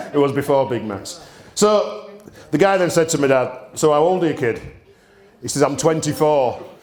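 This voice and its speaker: At a moderate pace, a man speaks. The recording has noticeable background noise and audible room echo. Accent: Yorkshire. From Yorkshire, Bradford. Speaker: distillery owner. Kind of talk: storytelling talk. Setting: stage with audience. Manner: animated.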